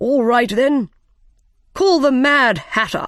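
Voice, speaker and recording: In a put-on character voice, a woman speaks very slowly with a high pitch and lively intonation. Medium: read story. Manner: commanding, blustering.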